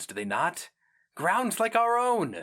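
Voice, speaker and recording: In a very clean recording with a silent background, a man uses a put-on character voice pitched high. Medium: read story.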